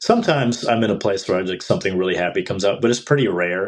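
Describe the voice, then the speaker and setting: Very fast talking in a Midwestern accent against a quiet background. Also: man. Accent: American Midwestern. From Mexico, raised in US Midwest. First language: Spanish. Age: 40s. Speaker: indie rock musician. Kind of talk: podcast interview.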